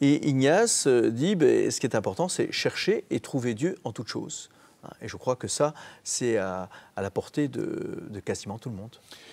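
Speaking at a fairly slow pace, a man lets his loudness rise and fall in big swings. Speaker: youth network director. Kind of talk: TV interview. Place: studio. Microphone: lapel.

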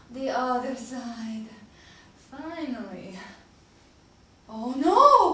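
In a put-on character voice with a bright, sharp tone, the speaker moves very slowly through big pitch swings amid strong room echo. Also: woman, high pitch for a woman.

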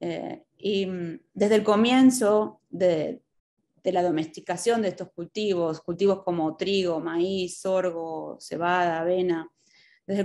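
A woman speaks at a fairly slow pace with a Rioplatense accent, her tone dark and mellow. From Buenos Aires, Argentina. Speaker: extension educator and agronomist. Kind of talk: lecture. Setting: video call. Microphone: video call.

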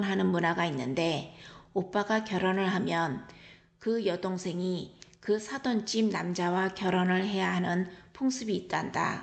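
A woman speaks at a fairly slow pace in a normal speaking voice, medium in pitch with ordinary pitch variation. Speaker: travel vlogger. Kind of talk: travel diary narration. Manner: calm, reflective.

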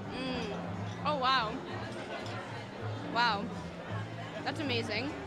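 A woman speaks at a very slow pace while clear music plays in the background. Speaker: on-camera host. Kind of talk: red carpet and street interview host. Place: hall. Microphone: handheld.

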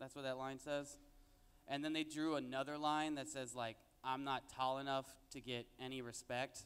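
The pace is moderate. The intonation stays monotone and flat. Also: man, medium pitch for a man. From Mexican-American, raised in a Mexican town. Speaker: stand-up comedian. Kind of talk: stand-up comedy set with jokes and crowd interaction. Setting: stage with audience. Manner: conversational, with filler words and laughing at his own punchlines. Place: stage. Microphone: handheld.

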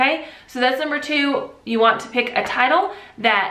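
The voice moves at a moderate pace with ordinary pitch variation, and audible room echo fills the recording. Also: woman. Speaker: online video creator. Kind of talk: tutorial. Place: home room.

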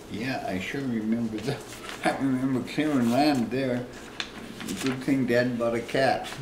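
A man speaks at a fairly slow pace with fairly even intonation and long, frequent pauses. Background noise is noticeable. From Canadian interior. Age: 80s+. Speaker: retired logger and homesteader. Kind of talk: interview answer. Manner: rambling, conversational. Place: home room. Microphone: camera far.

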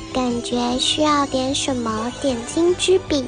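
A female-sounding cartoonish character voice, high in pitch, talks at a fairly slow pace. Loud music plays in the background.

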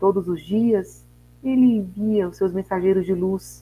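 Her tone dark and mellow, a woman talks fairly slowly with ordinary pitch variation. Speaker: host of a spiritist online talk. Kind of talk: reading a text, then host announcements and prayer. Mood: calm, devotional. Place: home room. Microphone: earbuds.

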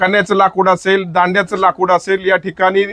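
A man speaks in a high pitch with monotone, flat intonation. The sound is dry and close, with no echo. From Satara district, Maharashtra. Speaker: villager explaining a local festival. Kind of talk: informal spoken explanation.

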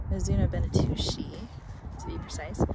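Loud background noise runs under a woman's voice. The sound itself is dry, with no echo. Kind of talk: casual vlog chat. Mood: mildly annoyed by wind. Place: garden. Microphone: phone near.

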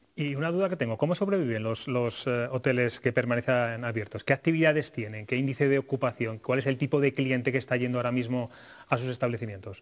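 A man talking at a very fast pace against a quiet background. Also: ordinary pitch variation. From Spain. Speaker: TV talk show host. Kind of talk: TV political talk show. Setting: TV studio. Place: studio. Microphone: lapel.

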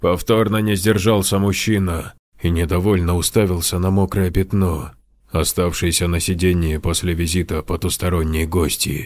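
A man puts on a character voice, his pitch very deep and low and his pace moderate. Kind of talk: horror narration.

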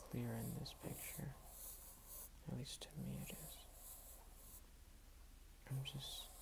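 Long, frequent pauses at a very slow pace over noticeable background noise. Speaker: ASMR creator. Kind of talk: ASMR soft-spoken talk while drawing. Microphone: phone near.

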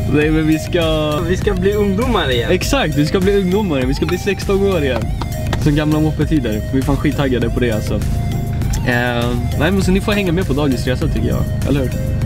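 A fairly quick pace in a dry, echo-free sound over clear background music. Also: man. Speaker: vlogger. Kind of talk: casual vlog chat. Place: car. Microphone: phone near.

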